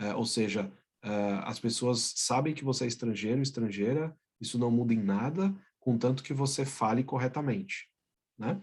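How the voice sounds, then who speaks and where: Somewhat breathy, a man speaks at a fairly slow pace and medium pitch, with ordinary pitch variation. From Brazil. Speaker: business executive. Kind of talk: interview.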